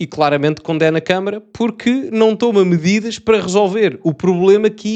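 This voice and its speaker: A man speaks with a European Portuguese accent at a moderate pace, with hardly any pauses. His pitch is high and its variation ordinary. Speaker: YouTuber commentator. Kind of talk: video commentary reacting to a report. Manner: hesitant, thinking aloud.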